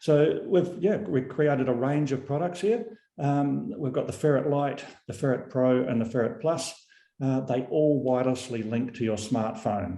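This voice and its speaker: A man's medium-pitched, dark and mellow voice with lively intonation and a New Zealand accent, plus audible room echo. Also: moderate pace. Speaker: company founder and CEO. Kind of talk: product presentation. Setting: video call webinar.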